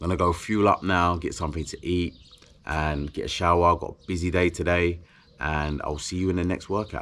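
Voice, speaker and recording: At a moderate pace, a man speaks with a British accent and a very deep, low pitch. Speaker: endurance athlete vlogger. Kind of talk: vlog monologue. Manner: casual.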